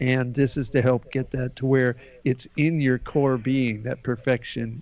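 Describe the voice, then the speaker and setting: This man has a plain, everyday voice at a medium pitch. He talks at a fairly slow pace with fairly even intonation. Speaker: healer. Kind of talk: guided healing exercise.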